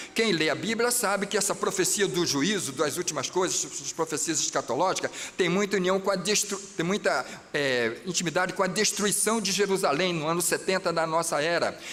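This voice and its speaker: Noticeable background noise sits behind a man whose pitch rises and falls in an ordinary way as he speaks at a moderate speed. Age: 60s. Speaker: pastor. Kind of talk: sermon. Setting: church. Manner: animated.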